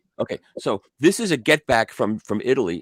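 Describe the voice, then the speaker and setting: His medium-pitched voice swings very widely in pitch. Vocal fry runs through this man's speech. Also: dry, close sound with no echo. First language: not English. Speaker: vinyl channel host. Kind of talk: casual chat.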